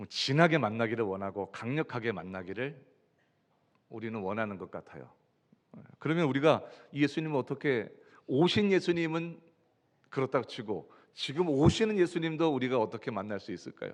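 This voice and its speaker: A man at a moderate pace and medium pitch, with very wide pitch swings, big swings in loudness and long, frequent pauses. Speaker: pastor. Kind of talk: sermon. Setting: church.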